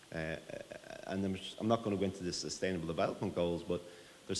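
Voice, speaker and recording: A man with an Irish accent talks at a very fast pace in a very deep, low pitch with fairly even intonation. Audible room echo surrounds the voice. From Ireland. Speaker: tech company CEO. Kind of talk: conference presentation.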